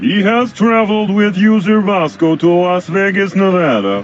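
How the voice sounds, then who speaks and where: A man's put-on character voice at a high pitch, with clear background noise. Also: moderate pace. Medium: video game. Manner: stiff, formal, no contractions.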